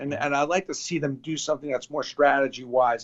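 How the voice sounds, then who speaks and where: Speaking with a New York accent, a man talks at a moderate pace and a fairly high pitch, with ordinary pitch variation. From New York (Brooklyn). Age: 60s. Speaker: sports memorabilia entrepreneur. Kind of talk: interview.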